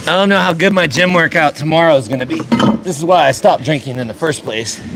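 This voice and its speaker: Over music in the background, a man talks loudly at a very fast pace with a fairly high pitch and lively intonation. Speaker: car mechanic livestreamer. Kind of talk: live stream tutorial. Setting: garage. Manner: casual.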